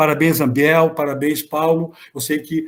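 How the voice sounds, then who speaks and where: At a fairly slow pace, the man talks in a fairly high pitch. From Brazil, Santa Catarina. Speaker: law professor and research group coordinator. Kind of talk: closing remarks in an online academic meeting. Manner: halting, with many repetitions and false starts; warm, animated praise.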